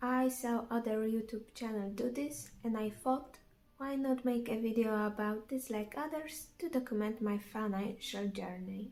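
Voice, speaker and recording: A dark, mellow tone comes with a non-native accent. Delivery is fairly slow, with fairly even intonation. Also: woman. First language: not English. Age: 20s. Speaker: vlogger. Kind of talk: casual vlog narration. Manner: halting.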